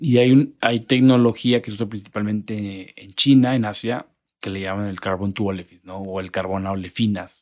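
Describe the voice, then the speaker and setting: A man's fairly low voice, a normal speaking voice at a moderate pace, with fairly even intonation and big swings in loudness. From Monterrey, northern Mexico. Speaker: petrochemical industry strategy manager. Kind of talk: interview.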